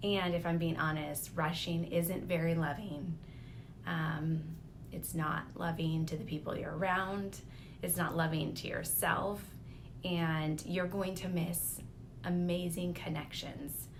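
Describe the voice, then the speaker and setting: In a room with audible echo, a woman with a fairly low pitch speaks at a fairly slow pace in a monotone, flat intonation. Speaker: lifestyle vlogger. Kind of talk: personal reflection monologue.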